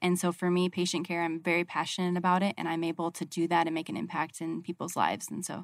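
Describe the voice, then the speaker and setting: This woman has a normal speaking voice, fairly low in pitch, with an American accent and fairly even intonation, captured on a very clean recording with a silent background. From Arizona. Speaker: healthcare construction project manager. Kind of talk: radio interview.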